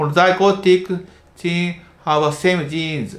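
With a Japanese accent, a man speaks with ordinary pitch variation. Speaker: medical doctor specializing in stuttering. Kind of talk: educational talk to camera.

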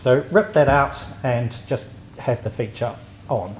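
The speaker has a New Zealand accent. Light background noise can be heard. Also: man. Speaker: software testing engineer; conference presenter. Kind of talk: conference talk. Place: hall. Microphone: handheld.

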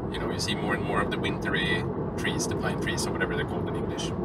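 A man's dry, echo-free voice competes with heavy noise behind him. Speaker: driver vlogger. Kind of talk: casual vlog chat. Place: car. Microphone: phone near.

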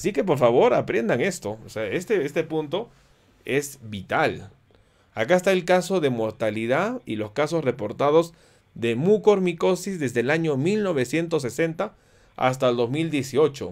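A fairly high-pitched man speaks at a fairly slow pace with very wide pitch swings. The background is quiet. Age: 40s. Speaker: physician giving health education. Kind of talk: educational livestream lecture with viewer Q&A. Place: home room.

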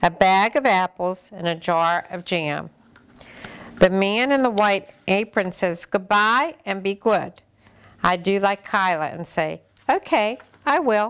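This woman talks at a very slow pace with ordinary pitch variation. Behind her, the background stays quiet. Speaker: grandmother storyteller. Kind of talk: reading a children's book aloud. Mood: gentle and warm. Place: home room.

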